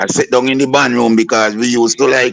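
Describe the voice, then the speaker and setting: A man with a normal speaking voice, medium pitch, and a fairly quick pace. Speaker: soca and calypso singer. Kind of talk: interview.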